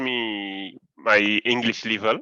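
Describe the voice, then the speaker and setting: A man speaks very slowly in a French accent, his fairly low voice bright and sharp in tone. The sound is dry and close with no echo, over a quiet background. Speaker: student. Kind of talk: presentation. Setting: video call. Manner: halting.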